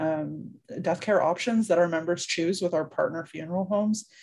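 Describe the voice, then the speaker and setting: This woman has an ordinary speaking voice, pitched fairly low. She talks at a moderate pace with fairly even intonation. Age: 30s. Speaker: nonprofit communications manager. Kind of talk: interview.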